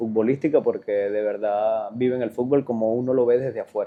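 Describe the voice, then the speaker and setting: At a moderate pace, a man talks in a medium pitch with fairly even intonation and an ordinary speaking voice. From Venezuela, Sucre state. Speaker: professional footballer. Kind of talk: interview.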